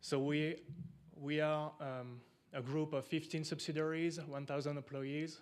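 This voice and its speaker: In a French accent, a man with a fairly high voice for a man speaks at a fairly slow pace in a flat monotone, with audible room echo. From France. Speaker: equipment company representative. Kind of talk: conference presentation.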